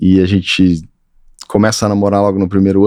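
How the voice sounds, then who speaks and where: On a very clean recording with a silent background, a man speaks with a rural Minas Gerais accent. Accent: Minas Gerais countryside. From Brazil, Triângulo Mineiro, Minas Gerais. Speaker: architect. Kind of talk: interview.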